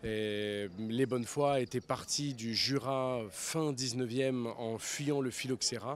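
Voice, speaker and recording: With a Spanish accent, a man talks at medium pitch and a very slow pace, hardly pausing, his intonation fairly even. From grew up abroad in many countries, French schools. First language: Spanish (speaking French). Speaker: writer. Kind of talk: interview.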